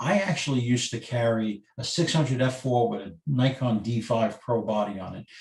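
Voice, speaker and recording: This man has an unremarkable speaking voice at a medium pitch with ordinary pitch variation. He keeps a moderate pace with hardly any pauses. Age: 60s. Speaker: photographer, workshop presenter. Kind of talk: webinar lecture.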